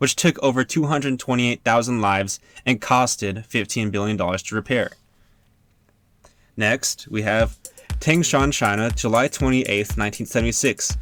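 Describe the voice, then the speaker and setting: Over music in the background, a man talks at a medium pitch and a moderate pace with ordinary pitch variation, the sound dry and close with no echo. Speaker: student. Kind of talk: mock podcast educational narration. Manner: occasional stutter.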